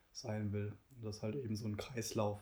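A man's very fast, somewhat breathy delivery, fairly low in pitch, monotone and flat, with a dark, mellow tone. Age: 20s. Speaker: guest sharing experience of depression. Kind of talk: personal testimony interview.

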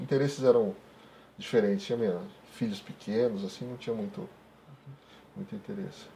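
A man's medium-pitched, somewhat breathy voice with a dark, mellow tone, a fairly quick pace, long and frequent pauses, very wide pitch swings and big swings in loudness. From Brazil, interior of Paraná. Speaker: professional photographer. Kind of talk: interview.

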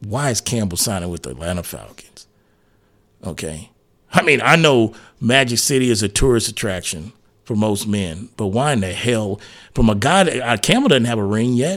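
A man with an ordinary speaking voice talks at a medium pitch and moderate pace with lively intonation, on a very clean recording with a silent background. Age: 40s. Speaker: sports radio host. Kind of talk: casual chat.

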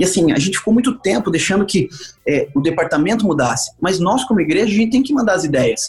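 A man talks very fast in a high pitch, swinging very widely up and down while his loudness stays very even. Music plays in the background. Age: 40s. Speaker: evangelist pastor. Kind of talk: casual interview.

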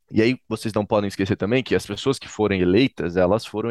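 In a dry, close recording with a quiet background and no echo, a man talks very fast at a fairly low pitch. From Brazil, Florianópolis, Santa Catarina. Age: 20s. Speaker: political education NGO director and professor. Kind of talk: podcast interview.

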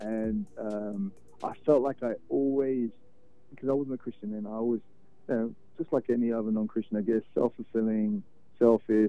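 Speaking at a moderate pace, a man with a British accent keeps a fairly even intonation. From London, England. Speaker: record label owner and sound engineer. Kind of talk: interview. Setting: phone call.

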